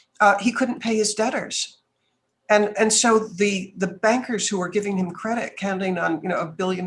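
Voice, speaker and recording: At a moderate pace, a woman talks in a somewhat breathy voice with an American accent. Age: 70s. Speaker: businesswoman and speaker. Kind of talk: podcast interview.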